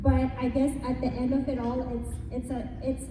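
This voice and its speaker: A woman with a Filipino accent, amid noticeable background noise and audible room echo. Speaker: businesswoman. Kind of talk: panel discussion.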